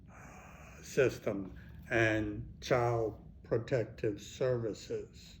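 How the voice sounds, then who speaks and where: A man with an American accent, somewhat breathy and very slow, with audible room echo. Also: medium pitch for a man, fairly even intonation. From Texas (Fort Worth). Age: 70s. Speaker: county commissioner. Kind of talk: answering interview questions for schoolchildren.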